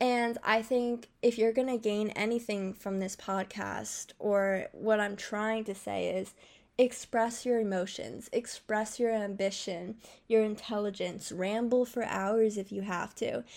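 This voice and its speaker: Her voice is fairly high and her delivery monotone and flat at a fairly slow pace. The woman is heard in a very clean recording with a silent background. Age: 20s. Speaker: solo podcaster. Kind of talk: personal monologue. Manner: rambling.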